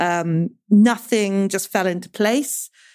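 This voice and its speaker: There is a woman with a British accent on a very clean recording with a silent background. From grew up partly in the Congo, British. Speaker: clinical psychologist and author. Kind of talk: interview conversation.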